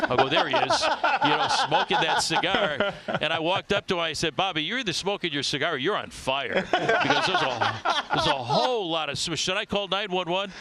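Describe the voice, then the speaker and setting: Noticeable background noise sits behind a man with an American accent who talks at a fairly quick pace with lively intonation. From US Midwest, Chicago south side. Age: 70s. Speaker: baseball play-by-play announcer. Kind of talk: casual interview.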